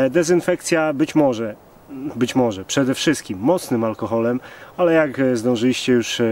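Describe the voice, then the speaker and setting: At a fairly slow pace, a man talks with ordinary pitch variation in a dry sound with no echo. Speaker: bushcraft vlogger. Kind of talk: casual vlog chat. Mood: jokey, relaxed. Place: forest. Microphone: camera far.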